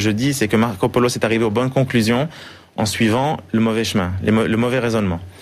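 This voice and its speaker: A man with a Swiss accent talks at a fairly quick pace in a medium pitch with ordinary pitch variation. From Switzerland, Geneva. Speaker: financial analyst and author. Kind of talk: TV interview. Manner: hesitant, many repetitions.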